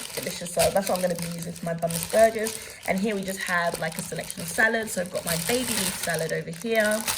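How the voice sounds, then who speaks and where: A woman talks at a very fast pace with hardly any pauses, in a medium pitch with fairly even intonation. Noticeable background noise and audible room echo come through. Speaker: lifestyle vlogger. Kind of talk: casual vlog haul.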